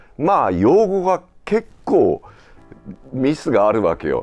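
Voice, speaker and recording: A man at a very slow pace over music in the background. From Japan. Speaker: voice actor, actor, narrator. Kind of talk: casual conversation.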